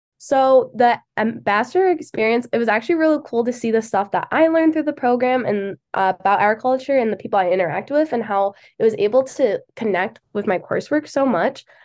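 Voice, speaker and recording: A woman with an Upper Midwest accent speaks at a high pitch with lively intonation. Her pace is fairly quick, with hardly any pauses. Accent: Upper Midwest American. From Michigan, near Grand Rapids. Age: 20s. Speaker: agriculture student ambassador. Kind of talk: casual interview.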